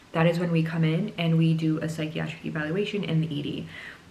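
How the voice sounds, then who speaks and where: Talking at a very fast pace, a woman with a fairly low pitch is heard amid audible room echo and noticeable background noise. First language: not English. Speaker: psychiatry resident doctor. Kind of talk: casual explainer vlog.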